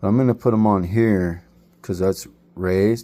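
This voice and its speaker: A man's very deep, low voice, dark and mellow in tone, at a fairly slow pace. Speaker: RC hobbyist vlogger. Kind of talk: casual build tutorial. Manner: halting, stuttering.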